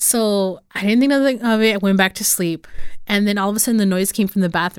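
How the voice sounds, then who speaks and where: A woman speaks at a medium pitch and a fairly quick pace, with ordinary pitch variation. The recording is very clean, with a silent background. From California Central Valley (Los Banos). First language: Spanish. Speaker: podcast host. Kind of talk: casual interview.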